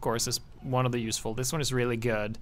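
A fairly quick-paced man with a Norwegian accent. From Norway. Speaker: gaming YouTuber. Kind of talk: gameplay commentary. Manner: casual, animated.

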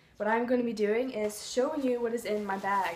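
A woman's voice in a room with audible echo, light background noise underneath. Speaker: vlogger. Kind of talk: casual vlog chat. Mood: playful, light. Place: home room. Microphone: phone near.

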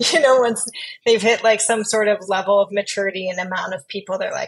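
There is a quiet background as a woman speaks. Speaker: podcast guest. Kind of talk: interview answer. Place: home room. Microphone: earbuds.

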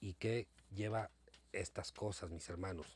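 Somewhat breathy and fairly low in pitch, a man talks at a fairly slow pace in a dry sound with no echo. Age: old. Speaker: YouTuber; vlogger. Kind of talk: casual monologue to viewers. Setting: home recording late at night. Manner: hesitant, many fillers. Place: home room. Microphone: phone near.

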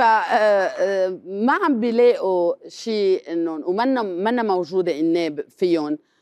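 A woman at a very slow pace, with lively intonation against a quiet background. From Lebanon. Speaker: comedian; comedian guest. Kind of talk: talk show interview. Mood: critical, animated. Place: studio.

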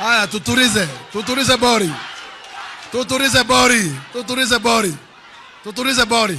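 Against noticeable background noise, a man with an extremely high pitch speaks in a raised, projected voice with an animated tone, at a moderate pace with ordinary pitch variation. His loudness stays very even, with long, frequent pauses. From Kenya. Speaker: politician. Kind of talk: political rally speech. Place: hall. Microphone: podium.

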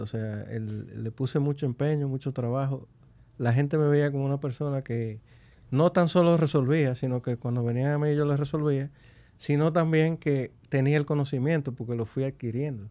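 Fairly high-pitched for a man, this voice has a dark, mellow tone, ordinary pitch variation and a moderate pace. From Dominican Republic, Santo Domingo; Dominican Republic. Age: 50s. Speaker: business executive; guest. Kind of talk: interview. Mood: calm, reflective. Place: studio. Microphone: studio mic.

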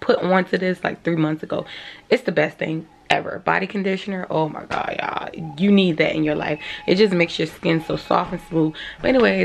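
The delivery comes at a fairly quick pace with ordinary pitch variation. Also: woman, fairly low pitch for a woman. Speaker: vlogger. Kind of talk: casual vlog chat. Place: home room. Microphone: phone near.

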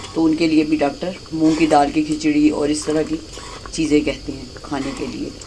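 A woman with a low pitch and a slightly mellow tone talks at a moderate pace. There is little pitch movement, with faint background noise.

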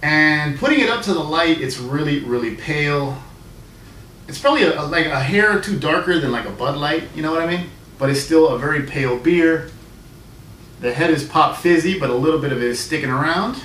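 A man's fairly quick delivery with ordinary pitch variation, light background noise, and audible room echo. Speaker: beer reviewer. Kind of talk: casual vlog review. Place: home room. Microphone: camera far.

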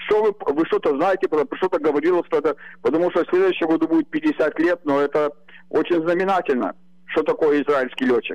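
Against a quiet background, a man talks at a fairly quick pace with a high pitch, ordinary pitch variation and very even loudness. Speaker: caller. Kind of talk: talk show discussion. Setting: phone call. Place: home room. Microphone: video call.

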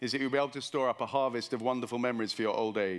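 Intonation remains fairly even. The text is read aloud in a natural voice.

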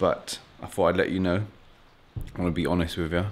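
A man talks at a fairly quick pace. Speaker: fitness vlogger. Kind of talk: casual vlog chat. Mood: relaxed, joking. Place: garage. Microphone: phone near.

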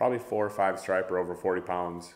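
Fairly even intonation runs through this man's speech. He speaks with an Upper Midwest accent. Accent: Upper Midwest (Minnesota). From Minnesota, near Minneapolis. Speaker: outdoor photographer and kayak angler. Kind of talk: casual chat.

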